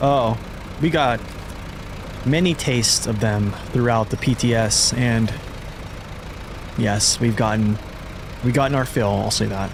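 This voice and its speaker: Noticeable background noise runs behind a man's voice. He keeps his loudness very even and leaves long, frequent pauses. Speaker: gaming streamer. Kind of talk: live gameplay stream chat. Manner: casual, halting with fillers.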